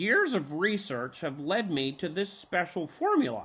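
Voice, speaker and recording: A put-on character voice speaks at a moderate pace and a middle pitch. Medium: read story. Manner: enthusiastic, scholarly.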